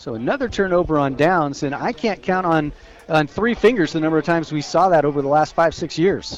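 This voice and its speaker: In a plain, everyday voice, a man speaks at a fairly quick pace with a fairly high pitch and ordinary pitch variation. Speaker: radio color commentator. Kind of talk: live sports color commentary. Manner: conversational, analytical.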